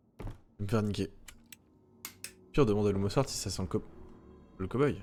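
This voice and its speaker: A man's fairly low pitch with ordinary pitch variation, at a fairly quick pace over music in the background. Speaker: gaming streamer. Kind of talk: let's play commentary. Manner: fast; stammering.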